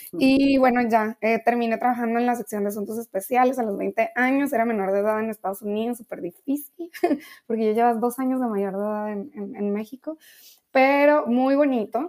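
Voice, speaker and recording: A woman with an ordinary speaking voice talks at a fairly high pitch with ordinary pitch variation. The sound is dry and close, with no echo. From Mexico, Ensenada, Baja California. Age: young. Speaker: international affairs professional. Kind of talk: interview.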